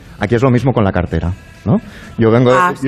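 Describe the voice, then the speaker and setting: A man speaks over noticeable background noise. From Catalonia, of Galician descent. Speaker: writer. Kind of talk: casual chat. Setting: live radio broadcast from an art gallery.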